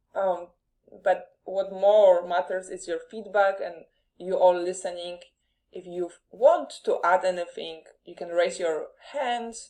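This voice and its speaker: A woman with a Polish accent talks at a fairly slow pace and medium pitch. Her loudness swings widely. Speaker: podcast host. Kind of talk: live interview.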